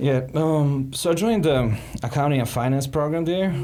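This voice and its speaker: Over audible room echo, a man talks at a moderate pace in a dark, mellow tone. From Montenegro. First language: Serbian. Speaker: ex-tech company financial analyst. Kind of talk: interview. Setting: podcast.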